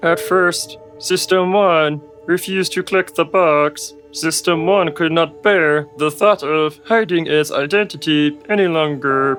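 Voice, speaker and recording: Clear music plays in the background as a man in a put-on character voice speaks at a fairly slow pace and a fairly high pitch. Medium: comedy sketch.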